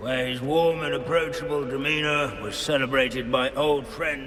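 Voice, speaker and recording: A put-on character voice from a man, fairly high in pitch, at a moderate pace, with clear echo and clear background noise. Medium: video game. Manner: dry, lecturing, pedantic.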